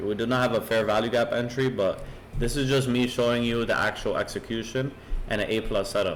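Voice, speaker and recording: This is a man speaking. His pitch is medium. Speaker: trading educator. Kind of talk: tutorial. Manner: fast.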